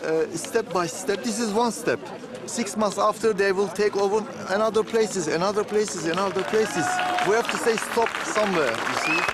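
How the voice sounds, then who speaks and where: With crowd noise in the background, the speaker talks at a moderate pace in a Turkish accent. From Turkey, Istanbul. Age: 60s. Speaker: protester. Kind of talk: street interview.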